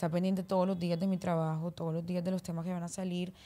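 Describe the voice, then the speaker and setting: A woman with a fairly low pitch and a dark, mellow tone, in monotone, flat intonation at a very fast pace. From Colombia, Barranquilla (Caribbean coast); Colombia. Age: 20s. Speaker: singer; guest. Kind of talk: casual interview chat. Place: studio. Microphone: studio mic.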